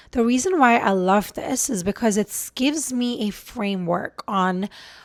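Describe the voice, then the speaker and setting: A woman speaks in an ordinary speaking voice at a fairly high pitch. Her intonation is lively and her pace fairly slow. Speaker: relationship coach and video creator. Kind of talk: casual vlog talk to camera. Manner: conversational with fillers.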